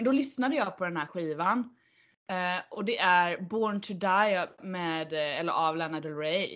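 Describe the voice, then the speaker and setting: A woman's medium-pitched voice, fairly slow, with lively intonation. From Sweden, Kalmar. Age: 30s. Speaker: podcast host. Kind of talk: casual chat. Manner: animated.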